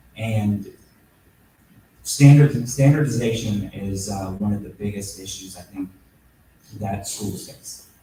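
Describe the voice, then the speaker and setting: A man speaks at a very slow pace, leaving long, frequent pauses, with ordinary pitch variation and big swings in loudness. Noticeable background noise is present. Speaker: congressional candidate. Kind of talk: candidate forum answer. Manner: halting.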